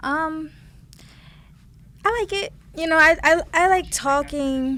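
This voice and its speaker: Using a raised, projected voice, a woman with an extremely high pitch speaks at a very slow pace with ordinary pitch variation. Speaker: radio personality and music journalist. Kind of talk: casual interview chat. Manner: stutters when trying to slow down.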